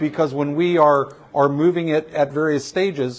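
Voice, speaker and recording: This man has an unremarkable speaking voice, pitched fairly high, with fairly even intonation. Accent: American. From Virginia (Richmond). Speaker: building owner and shop owner. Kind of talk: guided building tour. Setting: inside an old building, in-person tour group.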